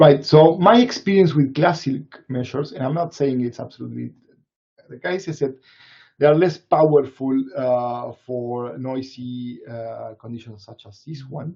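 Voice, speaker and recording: Speaking with a Latin American accent, a man with a medium pitch and a somewhat breathy voice talks at a moderate pace, with ordinary pitch variation and big swings in loudness. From Latin America, Argentina side of the Andes. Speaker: neuroscience researcher. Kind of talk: Q&A after a webinar talk. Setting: live online webinar. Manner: halting, many fillers and repetitions.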